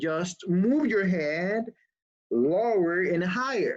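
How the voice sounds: A woman talks very slowly in a fairly low voice. Her tone is slightly mellow and her intonation lively.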